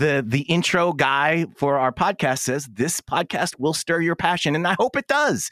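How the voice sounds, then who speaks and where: With a fairly high pitch and vocal fry, a man's voice comes through in a dry, close sound with no echo. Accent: American. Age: 40s. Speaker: rock radio personality and podcaster. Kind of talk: casual chat.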